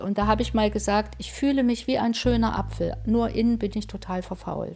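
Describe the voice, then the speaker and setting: A woman talks at a fairly quick pace. Music runs behind her voice. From East Germany. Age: 50s. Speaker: nurse, therapy patient. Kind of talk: interview testimony.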